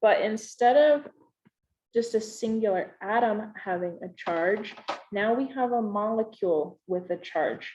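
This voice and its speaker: With an unremarkable speaking voice, a woman speaks at a fairly slow pace in a fairly high pitch with ordinary pitch variation. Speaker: chemistry teacher. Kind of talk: recorded lesson.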